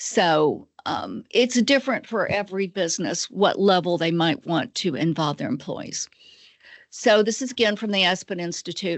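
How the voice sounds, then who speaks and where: Speaking at a moderate pace, a woman with an American accent uses a normal speaking voice at medium pitch with lively intonation. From Georgia, US. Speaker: nonprofit executive director. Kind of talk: webinar presentation. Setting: video webinar.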